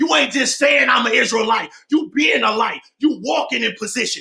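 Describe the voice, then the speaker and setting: Shouting at a moderate pace, a man uses an extremely high pitch with ordinary pitch variation. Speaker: preacher. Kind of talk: sermon. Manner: animated.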